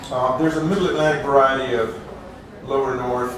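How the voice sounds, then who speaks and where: Set against noticeable background noise, a man talks in a medium register. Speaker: college English professor. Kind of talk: academic lecture.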